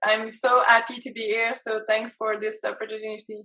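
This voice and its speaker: A woman with a French-Canadian accent speaks at a fairly high pitch and moderate pace. Her tone is bright and sharp, her intonation monotone and flat. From Quebec, Canada. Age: 30s. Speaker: life and business coach. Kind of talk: interview. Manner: halting, many fillers.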